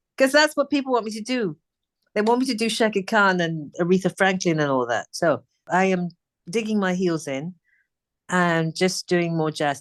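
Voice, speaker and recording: A woman with a British accent speaks with very wide pitch swings against a quiet background. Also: medium pitch for a woman, moderate pace, dry, close sound with no echo. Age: 60s. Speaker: singer. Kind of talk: interview. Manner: casual.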